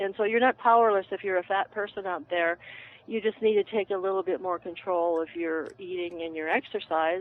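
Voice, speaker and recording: At a fairly quick pace, a plain, everyday voice moves with ordinary pitch variation. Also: woman, medium pitch for a woman. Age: 60s. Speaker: herbalist. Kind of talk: casual chat. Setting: phone call.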